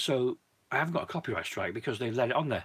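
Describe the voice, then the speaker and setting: Pitch varies in an ordinary way for a man speaking at a medium pitch. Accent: British. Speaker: YouTuber, disc collector. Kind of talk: live stream chat.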